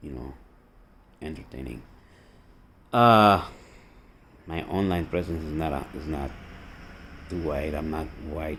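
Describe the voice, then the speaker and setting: With a Costa Rican accent and a very deep, low pitch, a man speaks in an animated tone at a fairly slow pace, with long, frequent pauses, vocal fry, ordinary pitch variation and audible room echo. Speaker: army veteran and political video blogger. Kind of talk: political rant monologue.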